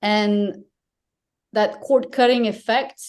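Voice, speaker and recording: A woman's dark, mellow tone at a fairly slow pace, with ordinary pitch variation. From France. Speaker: media industry analyst. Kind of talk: panel discussion.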